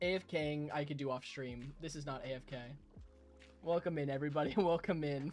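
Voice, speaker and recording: The speech moves at a fairly quick pace, with music in the background. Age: 20s. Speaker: gaming streamer. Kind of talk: casual chat. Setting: live stream. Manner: animated.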